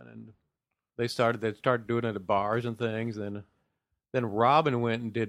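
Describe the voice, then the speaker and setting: An unremarkable speaking voice from a man with an American accent, medium-pitched, fairly even in intonation, at a moderate pace. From Ohio. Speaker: comedian. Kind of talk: casual chat.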